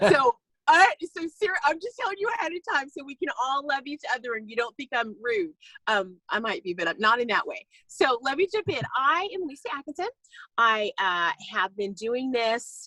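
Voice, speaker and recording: A woman's raised, projected voice at a high pitch, with a bright, sharp tone, an animated tone, very wide pitch swings and big swings in loudness, in a dry, close sound with no echo. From California. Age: 50s. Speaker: network marketing distributor. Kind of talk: casual talk on a video call. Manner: fast.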